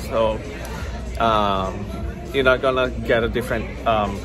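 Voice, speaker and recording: A man at a moderate pace, with clear music in the background. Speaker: travel vlogger. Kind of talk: casual vlog chat. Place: cafe. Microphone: phone near.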